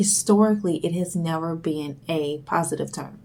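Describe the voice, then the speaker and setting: Soft-spoken woman, fairly low in pitch, dark and mellow in tone, at a fairly slow pace with ordinary pitch variation. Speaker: video blogger. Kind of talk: monologue vlog. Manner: hesitant, many fillers.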